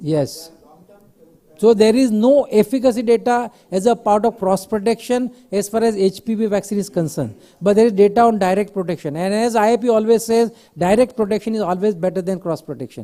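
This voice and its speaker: Loud and fairly quick, the voice has a dark, mellow tone and ordinary pitch variation. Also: man, high pitch for a man. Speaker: pediatrician vaccine expert. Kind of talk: conference Q&A panel. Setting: conference hall with mic, streamed online.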